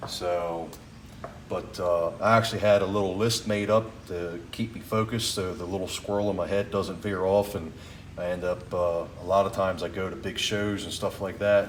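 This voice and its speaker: This man talks at a moderate pace with monotone, flat intonation. Audible room echo surrounds his voice. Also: fairly low pitch for a man. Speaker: tool collector vlogger. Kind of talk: casual vlog talk. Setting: garage.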